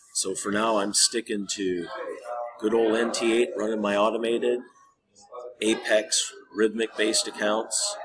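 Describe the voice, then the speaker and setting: A man with an American accent at a fairly slow pace, over noticeable background noise. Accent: Midwest accent, still somewhat there. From Minnesota, US Midwest. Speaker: trading video creator. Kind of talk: casual tutorial. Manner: casual, hesitant with fillers.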